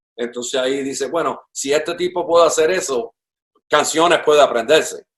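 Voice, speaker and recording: His pitch is fairly high, and it shifts with ordinary pitch variation. The man uses a plain, everyday voice. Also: moderate pace. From Puerto Rico (Ponce family), born in Cuba. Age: 60s. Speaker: drummer. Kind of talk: interview conversation. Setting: at his home.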